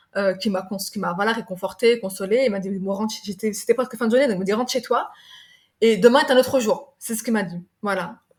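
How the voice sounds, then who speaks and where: A woman talks very fast in a somewhat breathy voice. Her pitch sits fairly high and varies in an ordinary way. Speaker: sales director and business leader. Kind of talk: podcast interview. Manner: halting, stumbling.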